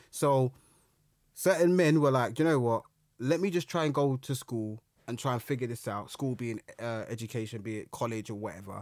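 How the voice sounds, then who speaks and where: Fairly quick, medium-pitched male speech with ordinary pitch variation, on a very clean recording with a silent background. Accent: London. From London, Brixton. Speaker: historian and public speaker. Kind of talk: casual chat.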